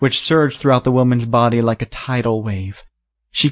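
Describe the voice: This is plain reading aloud with fairly even intonation against a quiet background.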